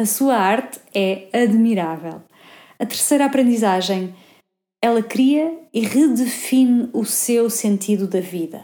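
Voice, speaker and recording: With a fairly high voice and ordinary pitch variation, a woman speaks at a very slow pace. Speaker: podcast host. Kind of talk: interview; scripted narration.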